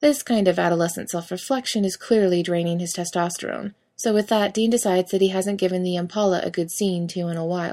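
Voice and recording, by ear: Natural-voiced reading aloud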